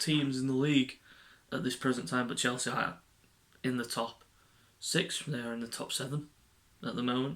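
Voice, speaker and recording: In an English accent, a man speaks quietly at a moderate pace with fairly even intonation. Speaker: football fan vlogger. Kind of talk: casual match preview monologue.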